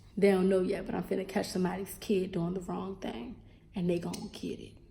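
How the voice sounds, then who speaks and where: An animated woman with an American accent, medium pitch and big swings in loudness. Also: fairly quick pace. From Baltimore, Maryland, US. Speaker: elementary school teacher and vlogger. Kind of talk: casual vlog chat.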